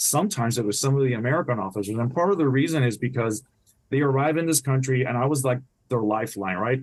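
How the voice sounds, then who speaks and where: A man talks at a very fast pace. His pitch sits in the middle range, with ordinary variation. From Puerto Rico. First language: Spanish. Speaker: retired naval officer and author. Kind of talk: podcast interview.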